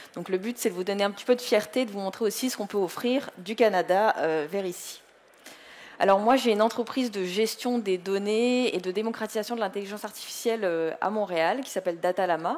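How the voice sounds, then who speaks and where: With ordinary pitch variation, the talking proceeds fairly quickly. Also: woman, medium pitch for a woman. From France. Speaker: data and AI entrepreneur, conference speaker. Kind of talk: conference talk.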